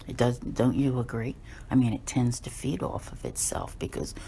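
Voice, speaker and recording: A woman's very deep, low voice, dark and mellow with vocal fry, at a moderate pace. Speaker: tarot reader. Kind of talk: daily tarot reading and astrology talk. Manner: conversational, many fillers.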